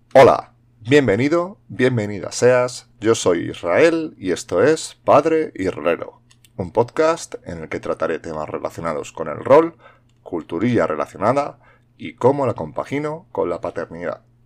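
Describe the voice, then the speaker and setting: A man's fairly slow speech with big swings in loudness. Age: 40s. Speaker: podcast host. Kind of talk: solo monologue podcast. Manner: halting, many fillers and repetitions.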